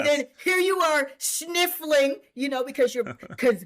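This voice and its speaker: Talking fairly slowly, a woman speaks with an American accent. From Boston. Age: 60s. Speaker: senior track and field athlete. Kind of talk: interview answer.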